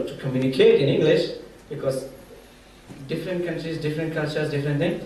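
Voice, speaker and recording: A man with a Pashto accent talks at a fairly high pitch. Noticeable background noise and audible room echo fill the recording. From Afghanistan. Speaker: sport-for-development site manager. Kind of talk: conference panel talk. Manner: halting.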